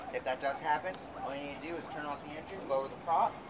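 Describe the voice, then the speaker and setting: Noticeable background noise accompanies a man who speaks at a very fast pace with fairly even intonation. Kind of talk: safety briefing instructions. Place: waterside. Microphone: camera far.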